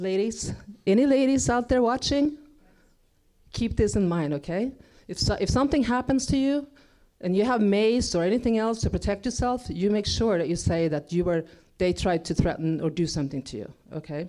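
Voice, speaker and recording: A woman with a Swedish accent and a dark, mellow tone speaks at a moderate pace from a medium pitch with very wide pitch swings, in a very clean recording with a silent background. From Sweden. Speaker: motivational speaker. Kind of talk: inspirational stage talk. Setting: stage with audience.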